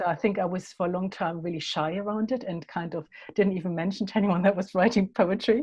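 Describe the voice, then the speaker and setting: In a German accent, a woman speaks at a very fast pace with a medium pitch, ordinary pitch variation and a somewhat breathy voice. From Germany. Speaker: poet. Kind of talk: interview. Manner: halting.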